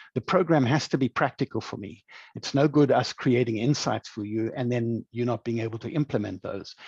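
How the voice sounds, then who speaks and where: A man with a South African accent talks at a fairly quick pace in a medium pitch with ordinary pitch variation. The sound is dry and close with no echo, over a quiet background. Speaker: leadership programme director, former chief executive. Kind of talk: webinar presentation. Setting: online webinar.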